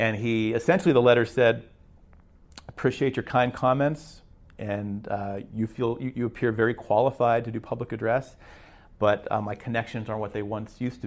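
Speaking in a plain, everyday voice with an American accent, a man talks at a fairly quick pace, medium pitch and ordinary pitch variation. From western Pennsylvania. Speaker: baseball public address announcer. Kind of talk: personal storytelling.

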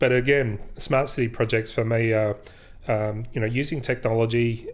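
A man with an Australian accent, medium in pitch and fairly quick in pace, on a very clean recording with a silent background. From South Australia, rural southeast. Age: 40s. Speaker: IT executive. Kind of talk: interview.

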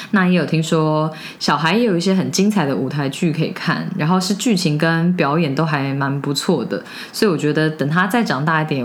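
A woman's very deep, low voice at a fairly quick pace, with ordinary pitch variation and very even loudness, amid audible room echo and noticeable background noise. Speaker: podcast co-host. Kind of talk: casual chat.

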